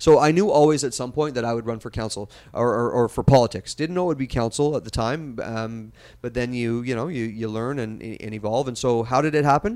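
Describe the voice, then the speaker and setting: An ordinary speaking voice comes from a man with a Canadian accent, talking at a fairly quick pace with medium pitch and ordinary pitch variation on a very clean recording with a silent background. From Western Canada (Kelowna, British Columbia). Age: 40s. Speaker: mayor, former TV journalist. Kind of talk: casual interview. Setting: studio.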